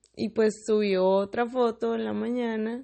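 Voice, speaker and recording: A woman speaks very slowly with a northern Mexican accent. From Mexicali, Baja California, northern Mexico. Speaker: podcaster. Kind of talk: casual monologue. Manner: casual, with many fillers.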